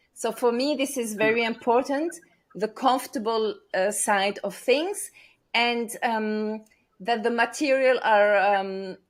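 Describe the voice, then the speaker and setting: Against a silent background on a very clean recording, a woman speaks at a fairly slow pace. Her pitch is fairly high, with ordinary variation. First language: not English. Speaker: stress coach and speaker. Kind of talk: interview. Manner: hesitant, many fillers.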